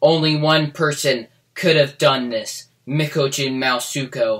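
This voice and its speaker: A man's put-on character voice, fairly high-pitched and at a fairly slow pace. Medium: read story.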